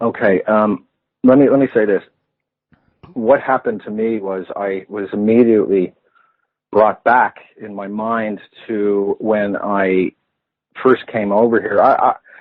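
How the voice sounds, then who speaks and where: Speaking fairly slowly with long, frequent pauses, a man with an American accent keeps a fairly low pitch and monotone, flat intonation. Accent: American-sounding accent that stuck. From Ireland, Clondalkin, Dublin (born in US, moved at five). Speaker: therapist and campaigner, interview guest. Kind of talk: radio interview.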